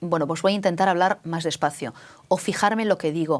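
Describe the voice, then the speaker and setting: Speaking at a fairly quick pace, a woman uses a fairly low voice with ordinary pitch variation. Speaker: radio host. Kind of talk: interview. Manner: fast.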